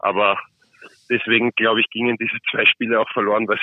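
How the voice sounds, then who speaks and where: In a flat monotone, a man speaks at a medium pitch. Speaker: ice hockey player. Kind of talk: interview. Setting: phone call.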